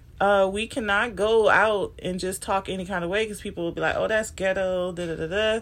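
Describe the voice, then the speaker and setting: Fairly quick speech from a woman at medium pitch, on a very clean recording with a silent background. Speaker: podcaster and coach. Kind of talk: educational monologue. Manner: casual with frequent laughs.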